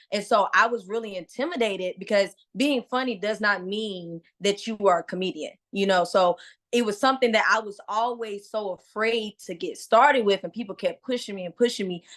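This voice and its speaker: A woman with an American accent speaks at a moderate pace in an animated tone, her pitch fairly high with ordinary variation. She hardly pauses, and the background is quiet. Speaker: comedian. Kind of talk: casual interview. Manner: loud.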